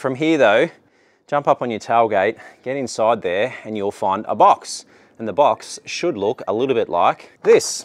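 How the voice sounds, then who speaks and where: A man with an Australian accent speaks at a fairly slow pace with lively intonation. The sound is dry, with no echo. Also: medium pitch for a man. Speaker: DIY car channel host. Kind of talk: tutorial. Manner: casual, upbeat. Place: open country.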